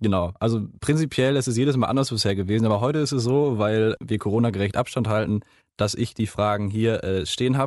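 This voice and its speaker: A man talks at a very fast pace with very even loudness and ordinary pitch variation. Behind him, the background is quiet. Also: medium pitch for a man. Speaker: campus radio podcast host. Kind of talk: casual interview. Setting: radio studio. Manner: energetic.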